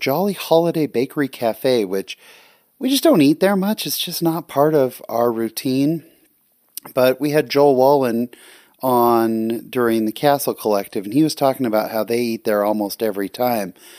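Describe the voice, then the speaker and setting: A man with a plain, everyday voice and an American accent speaks at a moderate pace and medium pitch, in a dry, close sound with no echo, on a very clean recording with a silent background. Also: ordinary pitch variation. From California. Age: 40s. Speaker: guest podcast host. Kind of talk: solo podcast monologue. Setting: home recording at night.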